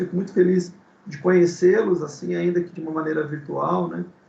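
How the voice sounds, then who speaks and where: A fairly high-pitched man's voice with vocal fry, at a moderate pace. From Brazil, São Paulo city. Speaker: guest speaker, ministry teacher. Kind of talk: casual chat. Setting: video call. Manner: halting.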